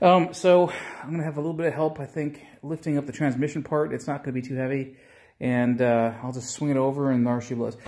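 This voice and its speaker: Talking at a very fast pace, the man holds a fairly even intonation. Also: quiet background. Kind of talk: casual vlog chat. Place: garage. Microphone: phone near.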